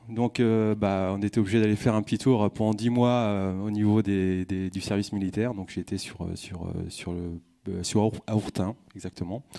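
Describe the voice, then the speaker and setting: In a very clean recording with a silent background, a man speaks in a fairly low pitch with a dark, mellow tone and fairly even intonation. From Brittany, Vannes area. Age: 40s. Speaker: business speaker. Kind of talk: conference talk. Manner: halting.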